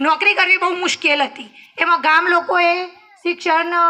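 A woman's extremely high-pitched, bright and sharp voice, raised and projected. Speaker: village school teacher. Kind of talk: farewell speech.

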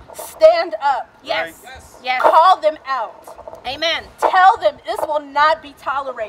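Over loud background noise, a woman speaks at a very slow pace in a high pitch. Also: ordinary pitch variation. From San Francisco, Bayview Hunters Point. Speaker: medical examiner's office worker. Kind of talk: protest speech. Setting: outdoor rally. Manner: impassioned, building call-and-response testimony; emotional, near tears recounting indignities. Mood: earnest, concerned.

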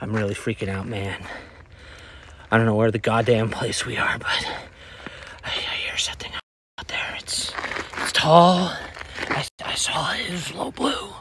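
A man speaks at a moderate pace in a raspy, put-on character voice of medium pitch. Long pauses come often. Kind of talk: amateur found-footage acting. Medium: comedy sketch. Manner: scared, breathless confession to camera.

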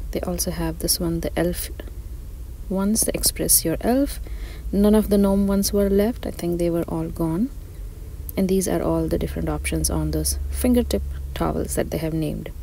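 A woman speaks at a moderate pace, with long, frequent pauses. The sound is dry with no echo, over light background noise. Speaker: shopping vlogger. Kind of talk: casual shop-along commentary. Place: shop.

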